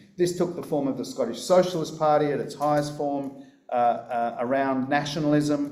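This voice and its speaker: Over noticeable background noise and audible room echo, a man with an Australian accent speaks at a moderate pace with a fairly high pitch and fairly even intonation. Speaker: political speaker. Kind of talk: conference talk.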